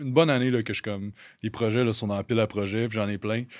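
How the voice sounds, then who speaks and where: Speaking with a Quebec accent, a man keeps a moderate pace, a medium pitch and fairly even intonation. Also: very clean recording, silent background. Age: 30s. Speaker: fitness coaching business owner. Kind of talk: casual chat.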